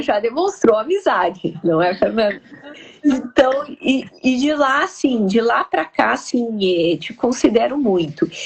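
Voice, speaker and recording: In a strong gaúcho accent, a woman speaks with a high pitch and very wide pitch swings. Her pace is very slow. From southern Brazil (Rio Grande do Sul). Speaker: live stream host. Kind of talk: casual interview chat. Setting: live stream.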